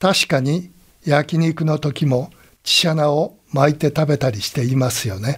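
Pitch varies in an ordinary way in this somewhat breathy voice. The pace is fairly slow. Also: man, fairly high pitch for a man. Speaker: radio college host and commentator. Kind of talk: radio commentary closing remarks.

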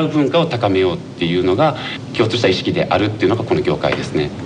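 A man's voice with very wide pitch swings, amid noticeable background noise and audible room echo. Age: 30s. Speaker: sake brewery owner. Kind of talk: interview.

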